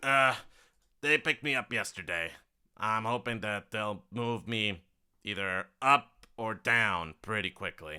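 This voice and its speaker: A gravelly, put-on character voice moves at a fairly slow pace on a very clean recording with a silent background. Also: man, fairly low pitch for a man. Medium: actual play. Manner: folksy, chatty, drawling.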